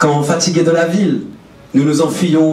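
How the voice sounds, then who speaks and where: A man speaks at a fairly slow pace. Both audible room echo and noticeable background noise come through. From France, Brittany. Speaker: public speaker. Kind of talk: prepared stage talk. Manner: poetic.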